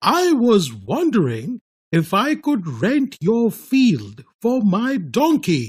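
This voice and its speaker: Putting on a character voice, a man speaks very slowly in a high pitch. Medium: read story.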